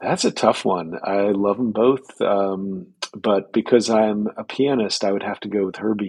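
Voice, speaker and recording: With an American accent, a man talks at a fairly slow pace with hardly any pauses. His voice is fairly low, with fairly even intonation. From US Northeast, Boston. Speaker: history professor. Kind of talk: casual chat. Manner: halting.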